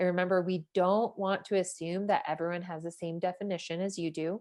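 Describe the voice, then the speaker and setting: Over a quiet background, a woman speaks at a moderate pace. She has a plain, everyday voice at medium pitch. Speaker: writing workshop leader. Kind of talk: workshop lecture.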